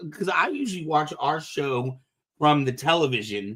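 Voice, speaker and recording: A man with an ordinary speaking voice talks at a fairly high pitch. His intonation is lively and his pace moderate. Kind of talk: casual podcast host talk. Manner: upbeat.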